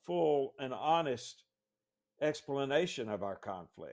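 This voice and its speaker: At a very slow pace, a man speaks in a fairly high pitch. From Northwest Georgia, US South. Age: 60s. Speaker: author and lawyer. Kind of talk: interview. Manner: halting, repeats words.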